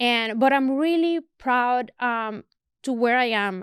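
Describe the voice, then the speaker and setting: In a very clean recording with a silent background and a dry, close sound with no echo, a woman with a Spanish accent speaks at a high pitch with ordinary pitch variation. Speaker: photographer. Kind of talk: casual chat. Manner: halting, repetitive fillers.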